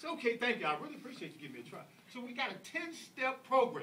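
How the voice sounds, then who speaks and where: Talking at a very fast pace, a man uses an extremely high pitch. His tone is animated. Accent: American. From US South, Atlanta, Georgia. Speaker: public speaker at speaking club. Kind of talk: speech to audience.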